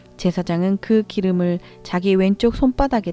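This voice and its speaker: Over music in the background, a woman speaks at a medium pitch in a dry, close sound with no echo. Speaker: Bible reader. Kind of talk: Bible reading, audio scripture. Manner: soft, calming, suited for night listening.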